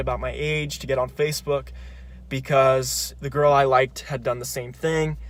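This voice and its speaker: A man with a Californian accent at a moderate pace. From California, Grass Valley. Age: 20s. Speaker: psychology student. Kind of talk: personal video monologue.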